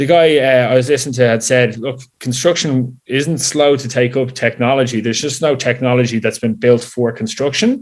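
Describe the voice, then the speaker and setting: With an Irish accent, a man talks at a moderate pace in a medium pitch. His intonation is fairly even. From Ireland, Dublin. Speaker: software company executive. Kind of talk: interview.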